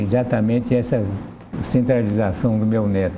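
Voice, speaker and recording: Room echo is audible, along with noticeable background noise. The voice shows ordinary pitch variation. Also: man. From Brazil, interior of São Paulo state. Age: 80s+. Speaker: interview guest. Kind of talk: TV interview.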